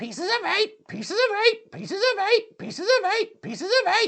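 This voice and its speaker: In a put-on character voice, the speaker sounds squeaky and shrill at an extremely high pitch. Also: moderate pace. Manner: repetitive, without pause or change.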